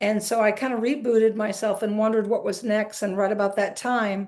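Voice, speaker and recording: A woman with an unremarkable speaking voice talks at a fairly high pitch with fairly even intonation against a quiet background. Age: 60s. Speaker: retired basketball coach. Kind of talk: interview.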